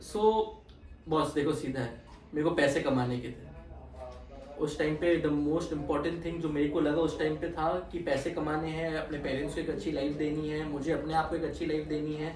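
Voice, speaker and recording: A man with a fairly high pitch speaks in a monotone, flat intonation amid noticeable background noise and audible room echo. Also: moderate pace. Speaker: chartered accountant. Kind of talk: interview. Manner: code-switching Hindi and English.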